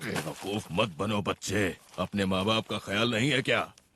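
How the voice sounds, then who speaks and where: Using a put-on character voice, a man talks at a moderate pace in a raspy, fairly low pitch. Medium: fan dub. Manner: blunt, authoritative.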